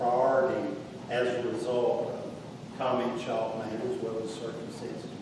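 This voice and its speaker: Moderate pace amid noticeable background noise and strong room echo. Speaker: county administrator. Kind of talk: public meeting discussion. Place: hall. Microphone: camera far.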